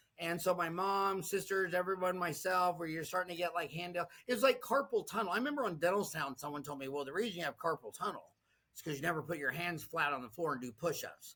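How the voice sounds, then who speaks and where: A man speaks at a very fast pace with a high pitch and ordinary pitch variation. His tone is bright and sharp. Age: 60s. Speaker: dentist and online community founder. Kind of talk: interview. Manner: animated.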